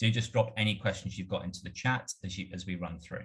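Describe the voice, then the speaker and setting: A fairly quick pace with a British accent. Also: man. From UK. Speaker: marketing automation strategist. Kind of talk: webinar presentation.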